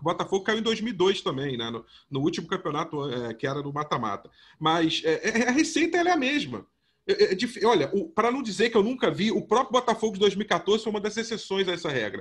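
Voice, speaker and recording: The speech moves at a fairly quick pace. Its pitch swings very widely. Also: man, high pitch for a man. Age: 30s. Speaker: sports podcast host. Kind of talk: casual sports discussion. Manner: animated.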